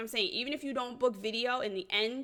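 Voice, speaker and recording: A woman projects her voice, speaking loudly. The tone comes across bright and sharp. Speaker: wedding photographer. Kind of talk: tutorial. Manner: casual, filler-heavy; slow, deliberate.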